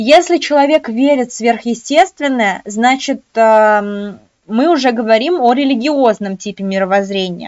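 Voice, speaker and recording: A woman speaks at a fairly slow pace in a fairly high pitch. Her intonation is lively, and the background is quiet. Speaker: exam prep tutor. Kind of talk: online lecture. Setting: live webinar. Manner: animated. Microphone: webcam.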